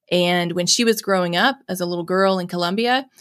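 The recording is very clean with a silent background. The speaker has a Southern US accent. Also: woman. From US South, Mississippi. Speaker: nonprofit executive director and foster parent. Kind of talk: interview conversation.

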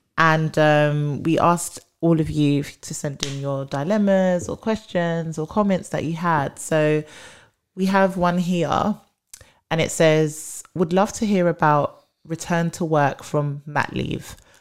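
In a very clean recording with a silent background, a woman with a British accent speaks very slowly at a fairly low pitch with fairly even intonation. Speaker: HR podcast host. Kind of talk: casual chat.

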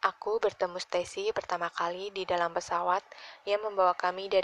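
Fairly even intonation in plain reading aloud

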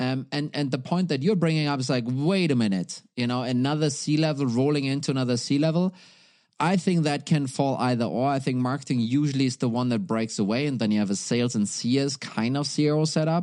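A man with a German accent, fairly high in pitch, fairly quick, with very even loudness, ordinary pitch variation, and a quiet background. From Germany. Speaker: startup CEO, former revenue executive. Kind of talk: podcast interview.

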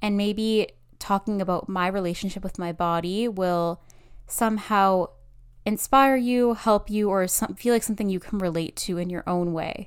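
On a very clean recording with a silent background, a woman speaks at a moderate pace in a plain, everyday voice, medium in pitch with fairly even intonation. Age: 20s. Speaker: podcast host. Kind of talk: personal monologue.

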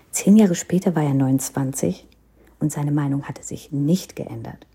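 A woman's very deep, low, somewhat breathy voice with a dark, mellow tone and ordinary pitch variation. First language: Hindi (speaking German). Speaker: podcaster. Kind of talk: personal storytelling.

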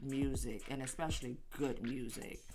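At a fairly slow pace, a woman speaks in an animated tone. Audible room echo fills the recording. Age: 50s. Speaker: podcast host. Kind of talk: casual monologue.

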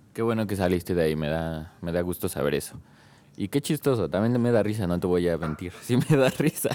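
A man with a very deep, low voice and a dark, mellow tone speaks fairly quickly with lively intonation. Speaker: podcast co-host. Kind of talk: casual chat.

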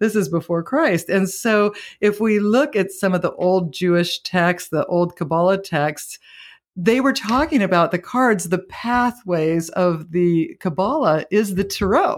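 A woman's plain, everyday voice, medium in pitch, with lively intonation, a fairly slow pace, very even loudness, and a very clean recording against a silent background. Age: 50s. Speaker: spiritual teacher. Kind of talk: interview.

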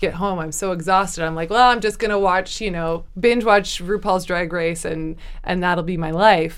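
In a normal speaking voice of medium pitch, a woman talks at a moderate pace with fairly even intonation and hardly any pauses. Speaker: author. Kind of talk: casual interview chat.

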